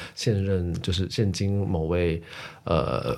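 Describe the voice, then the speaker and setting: A man speaks in a very deep, low pitch. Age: 20s. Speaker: podcast host. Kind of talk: casual chat.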